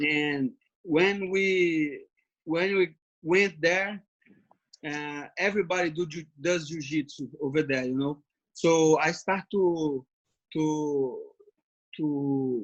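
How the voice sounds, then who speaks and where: Pausing long and often, a man with a Brazilian Portuguese accent speaks at a very slow pace with ordinary pitch variation. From Brazil (Brasilia, Rio de Janeiro). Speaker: MMA fighter. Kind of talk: interview. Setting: video call from home. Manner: halting.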